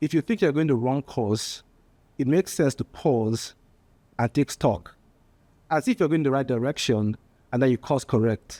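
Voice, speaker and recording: A man with a strong Nigerian accent speaks at medium pitch with a dark, mellow tone, lively intonation and very even loudness, at a moderate pace with long, frequent pauses. The recording is very clean, with a silent background and a dry, close sound with no echo. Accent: heavy Nigerian. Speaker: political candidate. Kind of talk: political speech. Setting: panel discussion with live audience. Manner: halting, with fillers and repetitions.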